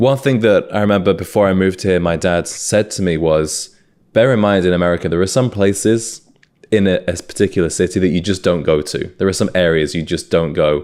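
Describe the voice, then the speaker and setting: Speaking fairly quickly in a British accent, a man with a very deep, low pitch shows ordinary pitch variation. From UK, South Wales (Swansea). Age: 20s. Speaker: podcast host. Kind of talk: casual chat.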